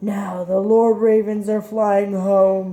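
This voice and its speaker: A female-sounding, put-on character voice of medium pitch speaks very slowly in a flat, monotone intonation. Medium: read story.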